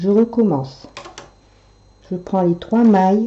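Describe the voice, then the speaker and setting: The speech moves at a very slow pace with ordinary pitch variation. Noticeable background noise sits underneath. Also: woman. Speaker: knitting tutorial maker. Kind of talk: tutorial.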